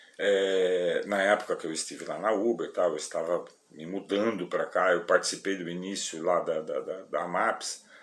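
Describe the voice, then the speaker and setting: He talks with almost no pauses. The man's speed is medium. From São Paulo, Brazil. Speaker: rideshare driver and vlogger. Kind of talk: casual vlog talk to viewers. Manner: halting, with many repetitions and fillers.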